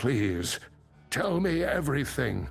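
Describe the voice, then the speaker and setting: Over clear background music, a put-on character voice swings very widely in pitch. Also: man, medium pitch for a man. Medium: video game. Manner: measured, formal, scholarly.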